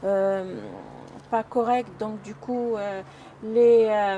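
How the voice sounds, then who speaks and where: Speaking at a very slow pace, a woman keeps her fairly high pitch and fairly even intonation. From Algeria. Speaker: former elderly care worker. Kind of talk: personal testimony. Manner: halting, many hesitations.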